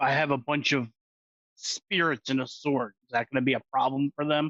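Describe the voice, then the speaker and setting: A put-on character voice from a man, raspy and fairly high-pitched, delivered at a moderate pace. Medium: actual play.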